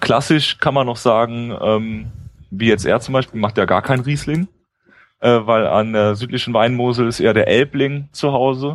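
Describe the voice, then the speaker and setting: Speaking at a moderate pace, a man uses an unremarkable speaking voice at medium pitch with fairly even intonation. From Mosel region, Germany. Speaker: wine enthusiast co-host. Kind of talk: casual chat. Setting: live stream with chat.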